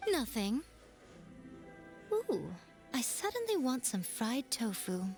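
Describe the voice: Speaking slowly in a put-on character voice, a woman uses a fairly high pitch and big pitch swings over faint music in the background.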